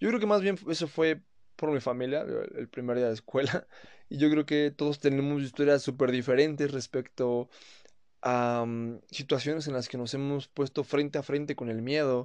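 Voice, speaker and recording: A man with a Mexican accent talks at a moderate pace, his pitch fairly high. His pitch varies in an ordinary way, and the background is quiet. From Mexico. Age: 20s. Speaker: podcaster. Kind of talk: casual monologue. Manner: casual, colloquial.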